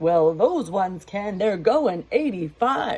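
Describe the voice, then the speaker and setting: A put-on character voice at middle pitch, at a fairly slow pace. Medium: read story. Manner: hollering.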